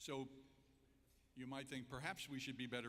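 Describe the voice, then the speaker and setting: A man's bright, sharp tone with audible room echo. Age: 70s. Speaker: entrepreneur and keynote speaker. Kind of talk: public speech. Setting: convention center stage with audience.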